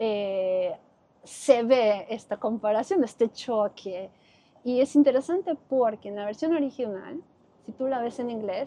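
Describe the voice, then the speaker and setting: With a coastal Ecuadorian accent, a woman speaks at a fairly slow pace in a fairly high voice, her tone dark and mellow and her intonation lively. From Ecuador, Guayaquil (coast). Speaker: Spanish teacher, expat interviewee. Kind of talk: interview.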